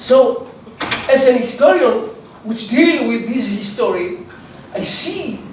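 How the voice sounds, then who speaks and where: A man at a fairly slow pace with lively intonation, audible room echo and noticeable background noise. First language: Hebrew. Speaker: historian. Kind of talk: conference talk.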